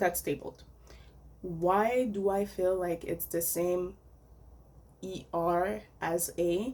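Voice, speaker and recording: A woman with a non-native accent speaks very slowly, with long, frequent pauses. Her pitch is fairly low, with ordinary variation. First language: French. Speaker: vlogger. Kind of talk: casual opinion monologue.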